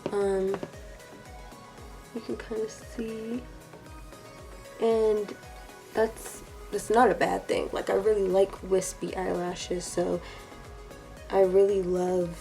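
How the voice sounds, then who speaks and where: Music plays in the background as a woman talks at a very slow pace. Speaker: beauty vlogger. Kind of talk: makeup tutorial voice-over. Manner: casual, chatty.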